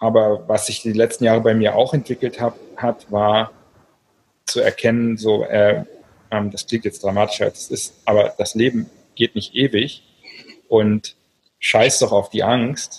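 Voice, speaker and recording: A man at a fairly slow pace with long, frequent pauses, the sound dry and close with no echo. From Berlin, Germany. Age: 40s. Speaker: novelist and online entrepreneur. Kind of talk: interview. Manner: hesitant, many filler sounds.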